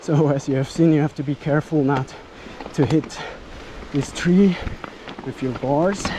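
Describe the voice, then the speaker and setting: The speech moves at a moderate pace with long, frequent pauses. Background noise is noticeable. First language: non-native English speaker. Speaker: mountain biker. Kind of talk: live riding commentary.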